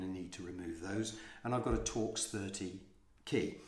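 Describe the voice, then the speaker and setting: With audible room echo around him, a man speaks in a somewhat breathy voice with fairly even intonation. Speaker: vlogger. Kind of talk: tutorial. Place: home room. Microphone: phone near.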